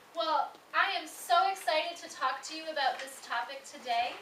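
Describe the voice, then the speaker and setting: A woman with an American accent uses a raised, projected voice and ordinary pitch variation. Noticeable background noise and audible room echo fill the recording. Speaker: academic director giving a lecture. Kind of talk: lecture.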